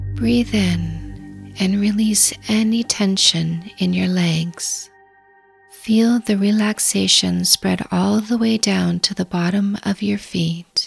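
Music plays behind a woman with a calm tone. She speaks at a very slow pace. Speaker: dating coach. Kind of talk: guided meditation. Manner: slow, calm.

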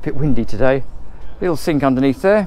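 With lively intonation and a slightly mellow tone, a man talks at a fast pace. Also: medium pitch for a man.

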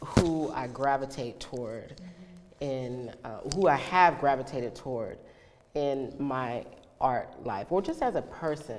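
A woman's very deep, low voice with an American accent, fairly slow delivery, ordinary pitch variation, big swings in loudness and light background noise. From East Texas. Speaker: actress and poet. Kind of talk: interview answer. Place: home room.

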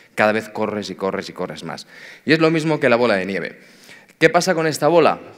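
A man talks at a very fast pace. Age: 40s. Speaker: tech executive, conference speaker. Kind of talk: conference talk.

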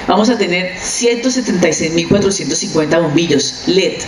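A woman with a fairly low pitch speaks at a fairly quick pace and with lively intonation, over clear background noise.

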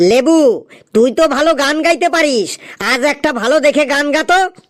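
A cartoonish character voice, high in pitch, moves at a moderate pace. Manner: scolding, exclamatory.

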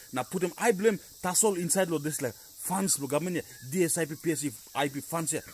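An angry-toned man speaks at a fairly quick pace with lively intonation, in a dry sound with no echo. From Papua New Guinea. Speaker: political commentator vlogger. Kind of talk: angry rant about voting and politicians. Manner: angry, emphatic, repetitive, scolding; rapid, code-switching between English and Tok Pisin. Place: garden. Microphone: phone near.

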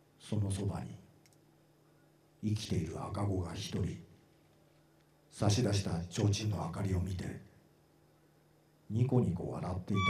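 A man's fairly low voice at a fairly slow pace, with long, frequent pauses, ordinary pitch variation, audible room echo and light background noise. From Japan, Matsue. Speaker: actor. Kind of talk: literary reading performance. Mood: eerie, hushed storytelling. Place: stage. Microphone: handheld.

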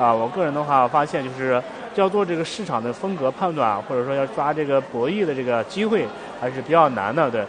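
There is noticeable noise behind the voice. A man talks fairly quickly. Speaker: guest. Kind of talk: interview answer. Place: stage.

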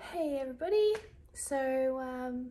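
The woman's tone is dark and mellow. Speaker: vlogger. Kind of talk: casual vlog chat. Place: home room. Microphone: phone near.

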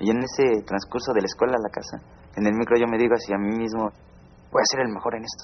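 Light background noise sits behind this man. He talks at a very fast pace in a monotone, flat intonation. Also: medium pitch for a man. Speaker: former student gang member. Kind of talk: personal testimony.

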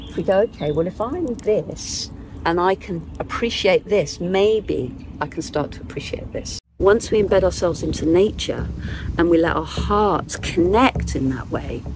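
Over noticeable background noise, a woman speaks at a moderate pace with fairly low pitch and ordinary pitch variation, the sound dry with no echo. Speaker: nature-based spiritual guide. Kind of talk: interview answer. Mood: calm, reflective, heartfelt. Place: open country. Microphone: lapel.

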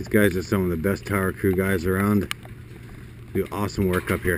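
A man's low-pitched voice at a fairly quick pace, with little pitch movement

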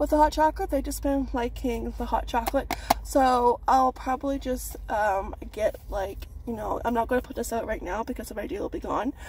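At a moderate pace, a woman talks in a dry sound with no echo, with light background noise behind her. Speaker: haul vlogger. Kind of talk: casual vlog chat. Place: car. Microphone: phone near.

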